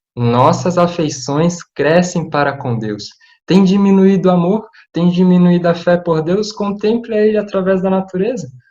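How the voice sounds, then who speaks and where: The man's voice is high in pitch and moves at a moderate pace. Audible room echo is present. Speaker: preacher. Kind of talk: sermon.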